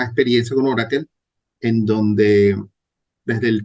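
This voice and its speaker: A man is speaking. His pitch is medium. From Venezuela. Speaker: database administrator. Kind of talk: interview.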